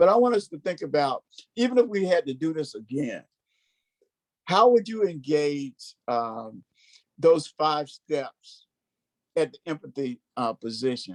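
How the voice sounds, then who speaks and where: Fairly high male voice with very wide pitch swings, dry and close with no echo. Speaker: racial equity trainer. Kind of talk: workshop presentation. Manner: halting.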